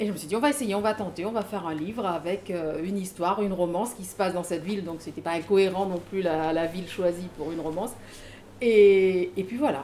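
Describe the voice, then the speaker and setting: At a very fast pace, a woman speaks at a medium pitch. Her loudness swings widely, while her pitch variation is ordinary. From Mauritius. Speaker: author and trainer. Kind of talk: casual panel talk at a book event.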